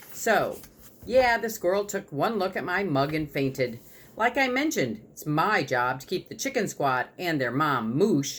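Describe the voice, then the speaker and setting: Putting on a gruff character voice, a man speaks at a moderate pace with very wide pitch swings. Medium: read story.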